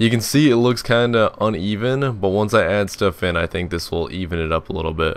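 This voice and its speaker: With hardly any pauses, a man talks at a fairly quick pace and a fairly low pitch, with ordinary pitch variation. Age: 20s. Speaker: gaming youtuber. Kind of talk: casual let's play commentary. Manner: rambling, lots of fillers.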